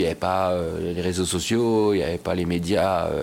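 A man is speaking. His pace is moderate. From France, Bois-le-Roi. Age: 50s. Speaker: show jumping rider and trainer. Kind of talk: interview. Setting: equestrian club clubhouse. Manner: halting, many hesitations.

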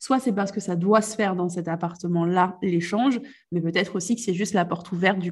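The pitch sits in the middle range for this woman. There is a slight breathiness to her voice. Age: 20s. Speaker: business coach. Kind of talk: casual chat.

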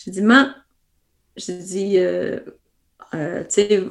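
A woman with vocal fry and a medium pitch talks at a very slow pace, her intonation lively. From Quebec. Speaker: ultra-trail runner and running coach. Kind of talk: interview.

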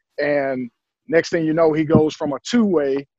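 At a moderate pace, a man speaks with a Southern US accent and a fairly high pitch. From US South, Durham, North Carolina. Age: 30s. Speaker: basketball coach, former pro player. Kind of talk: interview.

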